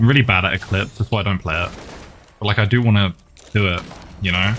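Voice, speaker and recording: At a very fast pace and with fairly even intonation, the speaker is heard over noticeable background noise. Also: man. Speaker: game streamer. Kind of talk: casual live-stream chat while gaming. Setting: live stream with chat. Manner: soft-spoken, talking quietly for ASMR.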